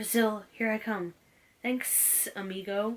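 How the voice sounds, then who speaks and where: A woman's put-on character voice, fairly high and hissing, at a fairly slow pace. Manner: cheery, casual.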